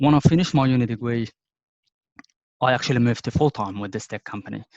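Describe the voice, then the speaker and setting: A man with a non-native accent talks at a very fast pace and medium pitch, with ordinary pitch variation. His loudness swings widely, and the sound is dry and close with no echo. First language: not English. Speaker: IT professional. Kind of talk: casual interview. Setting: video call. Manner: hesitant, many fillers.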